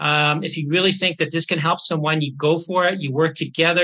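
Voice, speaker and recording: A man with a plain, everyday voice and a Canadian accent, at a moderate pace with fairly even intonation, against a quiet background. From Canada, northern British Columbia. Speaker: neurologist. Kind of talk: interview.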